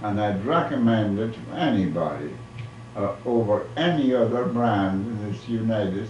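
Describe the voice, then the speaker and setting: Over noticeable background noise and audible room echo, a man with a medium pitch talks at a moderate pace with ordinary pitch variation. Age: 80s+. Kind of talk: casual chat.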